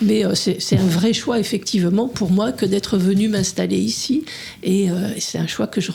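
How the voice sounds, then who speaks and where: A woman with a medium pitch and ordinary pitch variation talks at a moderate pace, with noticeable background noise behind her. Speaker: hiking club communications volunteer. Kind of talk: radio interview. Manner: soft-spoken. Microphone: too quiet, far from mic.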